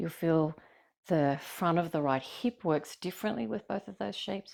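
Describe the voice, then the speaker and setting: A woman with an Australian accent speaks at a moderate pace and a fairly low pitch, her intonation lively. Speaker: yoga teacher. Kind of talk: guided yoga class instruction. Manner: gentle, kind.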